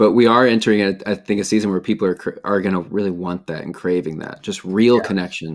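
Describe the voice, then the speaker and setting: With hardly any pauses, a man talks at a fairly quick pace and fairly low pitch with fairly even intonation against a quiet background. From Chicago area. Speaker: interviewer, music company founder; interviewer, podcast host. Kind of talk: interview. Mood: relaxed, friendly. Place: home room. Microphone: video call.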